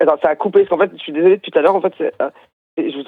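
The speaker is a man. The variation in his pitch is ordinary. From Brittany, France. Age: 40s. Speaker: musician in experimental music. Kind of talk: phone interview. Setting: phone call.

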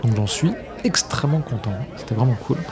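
Crowd noise fills the background. Over it, a man speaks with lively intonation. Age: 40s. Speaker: voice actor. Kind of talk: casual chat.

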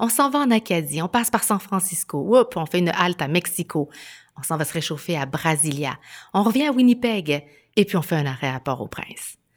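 A woman speaks at a moderate pace in a fairly low voice, her pitch swinging very widely. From Chile. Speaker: podcast host. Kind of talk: scripted narration; interview questions.

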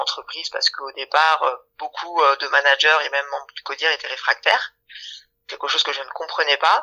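A woman talks at a moderate pace. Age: 30s. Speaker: HR manager. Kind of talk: interview. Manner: hesitant, with fillers.

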